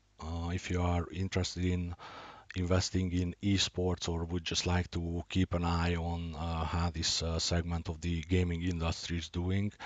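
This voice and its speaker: A man with a Hungarian accent speaks at a moderate pace. His very deep, low voice has monotone, flat intonation. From Hungary, Budapest. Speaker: gaming and investing youtuber. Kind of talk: scripted introduction; unscripted screen walkthrough. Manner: hesitant, many uh fillers.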